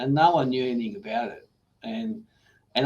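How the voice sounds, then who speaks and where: A man talks with an Australian accent. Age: 60s. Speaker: trader and Zen teacher. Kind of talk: interview. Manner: halting.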